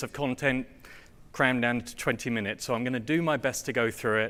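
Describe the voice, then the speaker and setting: Man with an English accent at a medium pitch, on a very clean recording with a silent background. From England. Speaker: software test automation engineer. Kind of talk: conference presentation. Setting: stage with audience. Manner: hesitant, many fillers.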